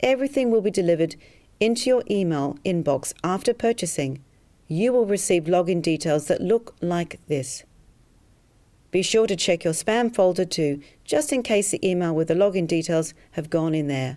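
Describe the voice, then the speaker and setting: Her voice is fairly low for a woman, with an Australian accent and lively intonation. The recording is very clean, with a silent background. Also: moderate pace. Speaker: hypnotherapist selling a program. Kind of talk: sales pitch.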